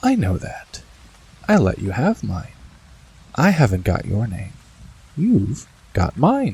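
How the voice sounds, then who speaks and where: In a put-on character voice, a man speaks shakily at a medium pitch and a fairly slow pace, with long, frequent pauses. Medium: read story. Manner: gentle, kindly, affectionate.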